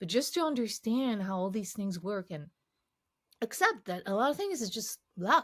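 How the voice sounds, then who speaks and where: The speaker has a slight French accent and very wide pitch swings. The pace is moderate, and the sound is dry and close with no echo. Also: woman, fairly high pitch for a woman. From France, Paris. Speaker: cognitive scientist, game UX expert. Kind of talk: interview conversation. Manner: halting with many false starts.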